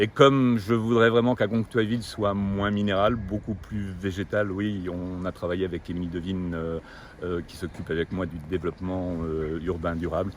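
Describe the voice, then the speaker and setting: In a very deep, low pitch, a man speaks at a moderate pace with fairly even intonation and big swings in loudness. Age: 60s. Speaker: retired executive, local election candidate. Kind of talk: interview.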